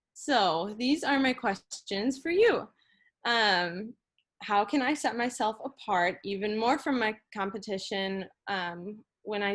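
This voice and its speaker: Woman with an American accent, fairly slow pace, ordinary pitch variation, quiet background. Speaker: entrepreneur presenting startup. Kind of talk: business pitch presentation.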